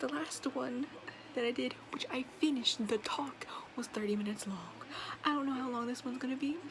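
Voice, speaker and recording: A quiet, high-pitched woman's voice at a fairly quick pace, with ordinary pitch variation, long and frequent pauses, and noticeable background noise. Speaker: vlogger. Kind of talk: casual monologue vlog. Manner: quiet, low volume; dull, low energy.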